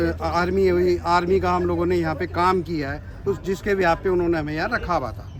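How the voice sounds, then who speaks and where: At a moderate speed, a man talks with noticeable background noise around him. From Delhi. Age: 60s. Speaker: displaced resident. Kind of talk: street interview.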